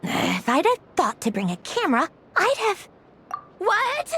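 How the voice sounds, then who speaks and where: An extremely high put-on character voice from a woman, fairly slow, with very wide pitch swings and a dry, close sound with no echo. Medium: video game. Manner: snappish, brusque.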